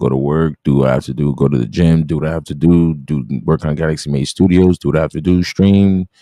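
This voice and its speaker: Dark, mellow tone with fairly even intonation at a fairly quick pace. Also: man. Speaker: live streamer. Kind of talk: casual live stream chat. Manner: fast; slurring words.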